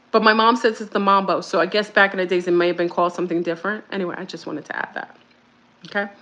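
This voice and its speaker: Delivered at a very fast pace, this bright, sharp voice has big swings in loudness yet fairly even intonation. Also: woman, medium pitch for a woman. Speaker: spiritual speaker. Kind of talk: casual monologue.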